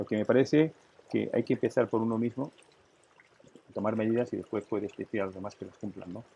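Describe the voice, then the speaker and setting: A man's medium-pitched voice, dark and mellow in tone, at a fairly quick pace with long, frequent pauses and big swings in loudness. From Catalonia, Spain. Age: 70s. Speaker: businessman. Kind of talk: interview. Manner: animated.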